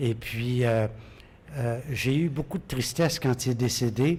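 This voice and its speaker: A man with a Quebec accent, somewhat breathy and medium in pitch, at a fairly slow pace with fairly even intonation. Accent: Québécois French. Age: 70s. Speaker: radio host. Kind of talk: interview.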